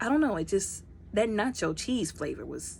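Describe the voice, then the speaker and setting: A woman speaks at a medium pitch with vocal fry. Her pitch swings very widely. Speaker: product reviewer. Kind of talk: casual product review vlog. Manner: fast.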